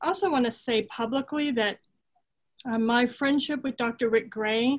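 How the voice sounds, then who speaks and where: The speaker has an American accent. Their intonation stays fairly even. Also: woman. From US West, Southern California. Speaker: theology professor. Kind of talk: panel discussion.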